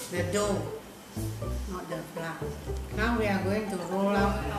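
A woman speaks in a room with audible echo. Music plays clearly in the background. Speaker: grandmother home cook. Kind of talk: casual cooking video talk. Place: kitchen. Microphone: camera far.

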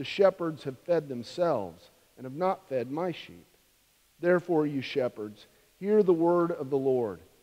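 Dark, mellow tone at a moderate pace, with big swings in loudness. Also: man. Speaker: minister. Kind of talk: scripture reading in a sermon. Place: church. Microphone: podium.

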